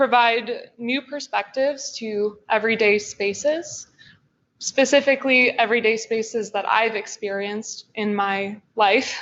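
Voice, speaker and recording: At a fairly slow pace, a woman with an American accent speaks in a high pitch with ordinary pitch variation. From US Pacific Northwest, Olympia, Washington. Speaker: MFA student artist. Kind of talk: artist talk presentation.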